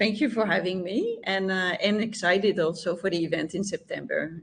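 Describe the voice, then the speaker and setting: This woman speaks with a French accent. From France, Champagne region. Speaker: health tech founder. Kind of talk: interview.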